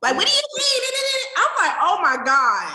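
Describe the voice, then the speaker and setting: This woman sounds animated, her pitch swinging very widely. She speaks in a raised, projected voice. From New Jersey. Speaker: podcast host guest. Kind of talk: casual chat.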